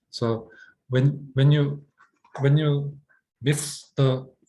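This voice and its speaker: A man speaks with a non-native accent at a fairly high pitch. His voice is somewhat breathy. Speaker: acting teacher. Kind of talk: lecture. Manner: halting.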